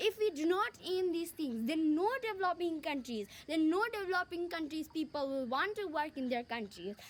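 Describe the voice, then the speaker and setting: This woman talks at an extremely high pitch, with very wide pitch swings, at a moderate pace and with hardly any pauses. Noticeable background noise runs underneath. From Nepal. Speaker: youth speaker on science. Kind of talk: speech. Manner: halting.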